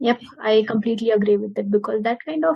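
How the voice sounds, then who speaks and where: A woman's somewhat breathy, dark and mellow voice, fairly high in pitch, in an Indian accent, at a fairly quick pace with fairly even intonation. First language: Marathi. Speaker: interviewer. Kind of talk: casual interview.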